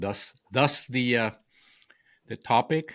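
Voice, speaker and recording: Very slow, lively speech with a Spanish accent. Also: man. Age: 60s. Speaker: author and communication coach. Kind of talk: podcast interview. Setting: podcast. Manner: halting, many repeated words.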